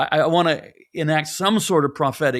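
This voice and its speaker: On a very clean recording with a silent background, a man with a plain, everyday voice and fairly high pitch talks at a moderate pace with ordinary pitch variation. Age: 60s. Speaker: pastor and author. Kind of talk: casual chat. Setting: podcast interview.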